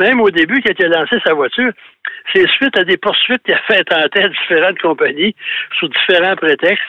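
The man speaks at a fairly quick pace. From Quebec (Thetford Mines). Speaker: automotive history columnist. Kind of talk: casual radio chat.

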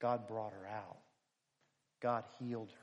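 At a fairly slow pace, a man with an American accent talks in a flat monotone. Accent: Philadelphia, slight Southern. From Philadelphia. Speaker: preacher. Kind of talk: sermon. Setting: church.

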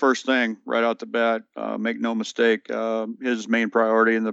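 The tone is bright and sharp, with monotone, flat intonation at a moderate pace, in an American accent. The sound is dry and close with no echo, and the background is quiet. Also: man. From Kentucky, Morganfield. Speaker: navy senior enlisted leader. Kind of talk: interview. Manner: halting, many fillers.

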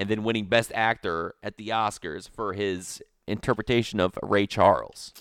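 In a very clean recording with a silent background and a dry, close sound with no echo, a man has a plain, everyday voice with a fairly low pitch, a moderate pace and fairly even intonation. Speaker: podcast co-host. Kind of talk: casual banter, comedy podcast. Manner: joking, bantering, interrupts often.

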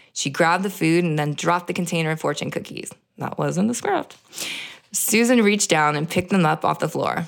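Her voice is fairly low with vocal fry, and this woman speaks at a fairly quick pace with ordinary pitch variation. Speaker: podcast host and actress. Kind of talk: reading aloud from a novelization. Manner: hesitant, many ums.

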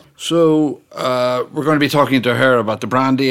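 Moderately paced, a man at medium pitch talks in an ordinary speaking voice. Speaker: interviewer. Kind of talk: interview conversation.

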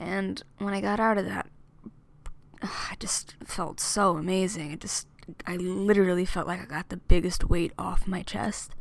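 A woman with an American accent speaks at a fairly slow pace in a normal speaking voice, her pitch medium and her intonation fairly even. Her loudness swings widely, and the recording is very clean with a silent background. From US Northeast (Amityville, New York). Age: 20s. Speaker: singer and student. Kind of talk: casual monologue.

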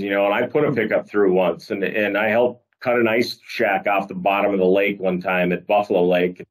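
A man speaks with an Upper Midwest accent. His fairly low pitch follows fairly even intonation. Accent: Upper Midwest American. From northeast South Dakota. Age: 40s. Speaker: podcast host, state wildlife agency communications. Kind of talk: casual chat. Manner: hesitant, filler-heavy.

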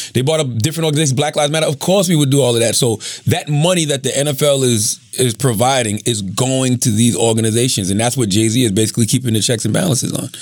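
A man at a medium pitch, very fast, with hardly any pauses, very even loudness and ordinary pitch variation, over noticeable background noise. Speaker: podcast co-host. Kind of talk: casual chat.

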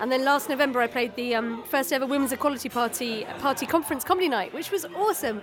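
A woman talks very fast at a high pitch with lively intonation. There is noticeable background noise. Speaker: comedian. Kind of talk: promoting her fringe show in interview.

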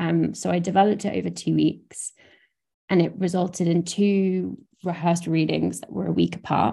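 A woman speaks in a southern English accent. Her pace is moderate. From southern England, Brighton. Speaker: theatre director and producer. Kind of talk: interview conversation.

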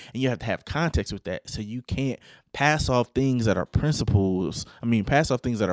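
A man with a plain, everyday voice speaks at a medium pitch. The recording is very clean with a silent background, and the sound is dry and close with no echo. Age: 20s. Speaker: podcast host. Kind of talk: solo commentary podcast. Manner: casual, conversational.

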